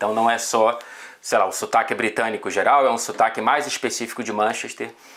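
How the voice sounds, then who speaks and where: A man speaks at a medium pitch and a moderate pace. His delivery is monotone, with flat intonation. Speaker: football journalist. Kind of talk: casual chat.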